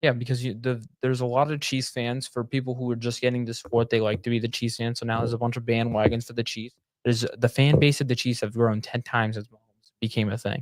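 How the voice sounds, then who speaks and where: At medium pitch, a man talks at a very fast pace with hardly any pauses. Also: big swings in loudness. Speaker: sports podcast co-host. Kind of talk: casual chat. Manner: animated.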